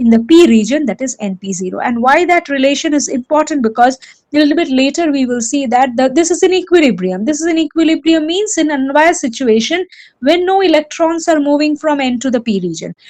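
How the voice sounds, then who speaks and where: A woman with a high pitch and lively intonation speaks at a very fast pace. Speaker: lecturer. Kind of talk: lecture.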